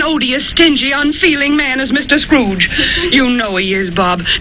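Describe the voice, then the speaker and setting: A woman speaks in a high voice with lively intonation, and noticeable background noise is audible. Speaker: actress playing a mother hosting Christmas dinner in a radio drama.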